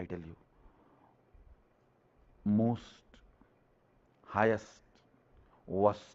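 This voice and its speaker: A man's fairly low-pitched voice. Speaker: spiritual teacher giving a guided meditation talk. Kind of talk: spiritual discourse / guided meditation talk. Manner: emphatic, slow, deliberate.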